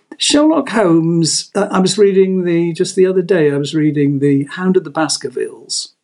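A man with a southern English accent, his high-pitched voice carrying lively intonation at a moderate pace. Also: hardly any pauses. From England, Devon (Exeter). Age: 70s. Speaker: author. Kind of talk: casual chat.

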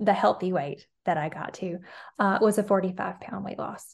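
A woman speaks with a Southern US accent. The background is quiet. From Alabama, US South. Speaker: nutrition coach. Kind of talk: casual interview chat.

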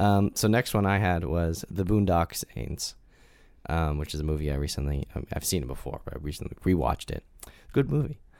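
Lively intonation runs through a man's very deep, low voice. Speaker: podcast host. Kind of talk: casual chat, word game. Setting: video recording.

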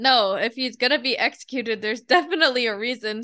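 Over a quiet background, a woman speaks with a bright, sharp tone. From South Korea. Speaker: podcast co-host. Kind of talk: casual chat.

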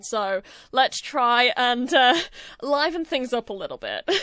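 With a strong Yorkshire accent, a woman speaks in a fairly high, bright and sharp voice with ordinary pitch variation against a quiet background. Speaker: podcast host. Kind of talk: casual solo podcast chat. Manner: talkative, fast.

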